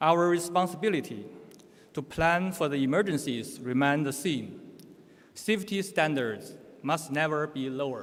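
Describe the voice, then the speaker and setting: Audible room echo surrounds a man with a Chinese accent. His fairly high voice moves at a moderate pace with ordinary pitch variation. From China. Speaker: conference speaker on nuclear safety. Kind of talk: conference presentation. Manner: halting, with self-corrections.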